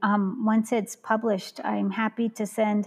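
A woman with a fairly high voice speaks at a moderate pace in a dry, close recording with no echo. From Central Valley, California, US. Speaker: scholar and community worker. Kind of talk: casual chat. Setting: video call.

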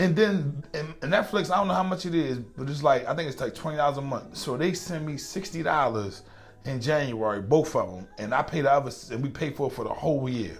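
A man with lively intonation at a fairly quick pace, music in the background. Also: fairly high pitch for a man, hardly any pauses. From US, Baltimore. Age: 40s. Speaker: podcast host. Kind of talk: casual chat.

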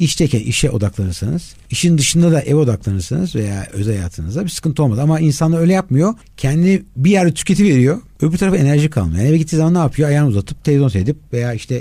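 A somewhat breathy voice with a dark, mellow tone races along at a very fast pace with hardly any pauses. Its pitch swings very widely. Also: man, fairly high pitch for a man. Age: 50s. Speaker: life and performance coach. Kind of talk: interview.

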